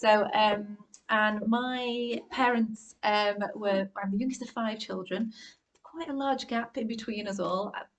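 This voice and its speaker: With a northern English accent, a woman speaks at a fairly slow pace in a somewhat breathy, fairly high voice with ordinary pitch variation. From northern England, Warrington. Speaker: art curator. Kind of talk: public conversation. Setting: live event with audience.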